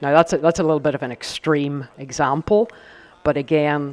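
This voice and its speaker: In a Northern Irish accent, a man speaks at a moderate pace with fairly even intonation. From Northern Ireland. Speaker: company executive on a panel. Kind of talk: panel discussion. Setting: live event with audience.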